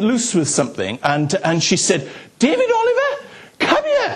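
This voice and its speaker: There is noticeable background noise as a man talks in a South Wales Valleys accent. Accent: South Wales Valleys Welsh English. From Wales, South Wales Valleys. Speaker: pastor. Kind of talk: sermon. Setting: church. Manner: halting.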